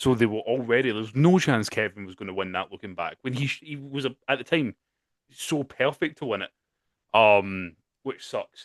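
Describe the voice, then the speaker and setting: In a Scottish accent, a man speaks at a moderate pace in a medium pitch, with lively intonation and big swings in loudness. The sound is dry and close with no echo, over a quiet background. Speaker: wrestling podcast co-host. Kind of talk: casual chat. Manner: animated, with frequent fillers and restarts.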